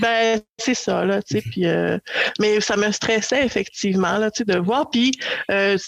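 A woman with a Quebec accent, speaking at a fairly slow pace. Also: dry, close sound with no echo. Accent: Québécois French. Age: 40s. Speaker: podcast guest on dating. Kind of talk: casual chat.

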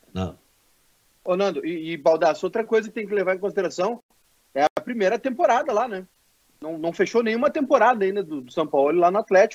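The intonation is lively, and the loudness swings widely. Long, frequent pauses break up the speech. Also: man, high pitch for a man, fairly quick pace. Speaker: stand-in sports show host. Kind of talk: casual sports talk show. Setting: live stream with chat.

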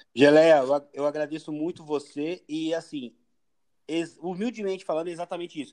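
A man's fairly high-pitched voice at a moderate pace, ordinary pitch variation, long, frequent pauses. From São Paulo, east zone (Itaim Paulista). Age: 40s. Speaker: tattoo artist and surfer. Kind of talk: casual chat.

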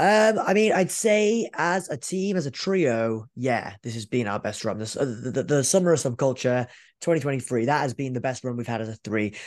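Speaking at a fairly quick pace with hardly any pauses, a man uses a medium pitch that swings very widely. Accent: Welsh. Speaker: professional wrestler. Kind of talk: interview.

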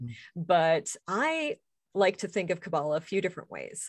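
With a plain, everyday voice, a woman speaks at a moderate pace in a fairly low pitch against a quiet background. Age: 40s. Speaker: author and pagan clergy member. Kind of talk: casual interview.

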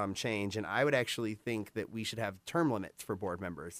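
Fairly quick and full of lively intonation, a man talks in an ordinary speaking voice on a very clean recording with a silent background. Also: dry, close sound with no echo. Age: 20s. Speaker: school board candidate. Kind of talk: radio interview. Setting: radio studio.

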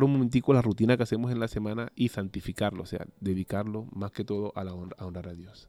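Very fast speech with a dark, mellow tone comes through in a very clean recording with a silent background and a dry, close sound with no echo. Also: man. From Colombia, Cartagena de Indias (Caribbean coast). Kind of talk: interview testimony. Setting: studio.

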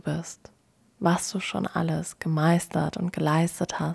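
A woman with a calm, soothing tone at a very slow pace, in a very clean recording with a silent background. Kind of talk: guided meditation. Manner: slow, calm, soothing and gentle.

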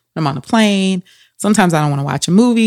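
A woman's fairly low voice with lively intonation. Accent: Southern US. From Louisiana. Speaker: psychologist. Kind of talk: casual interview.

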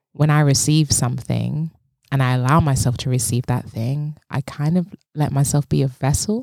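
In a London accent, a woman speaks at a very deep, low pitch and a moderate pace with a dark, mellow tone and ordinary pitch variation, in a dry, close sound with no echo. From South London. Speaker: dance movement psychotherapist. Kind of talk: casual chat.

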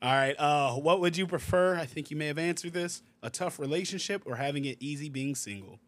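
With hardly any pauses, a man in an unremarkable speaking voice talks at a fairly quick pace, his fairly high pitch showing ordinary variation. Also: very clean recording, silent background. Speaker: podcast host. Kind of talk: casual interview chat.

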